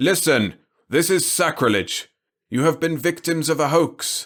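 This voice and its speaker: In a put-on character voice, the speaker shouts at a moderate pace. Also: man, fairly high pitch for a man, ordinary pitch variation. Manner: bawling, shouting.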